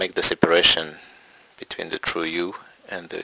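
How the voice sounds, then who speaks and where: A man with a non-native accent is recorded with a dry, close sound and no echo, with noticeable background noise. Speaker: meditation teacher. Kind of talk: spiritual Q&A talk.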